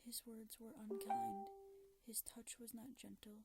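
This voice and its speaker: Over music in the background, a soft-spoken woman talks at a moderate pace and a fairly high pitch. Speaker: ASMR creator. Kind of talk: ASMR story reading, creepypasta narration.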